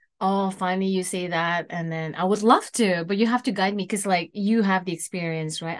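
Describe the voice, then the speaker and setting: Speaking with an Indonesian accent, this voice moves at a fairly quick pace with hardly any pauses. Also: woman, medium pitch for a woman. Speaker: singer and musician. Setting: in person.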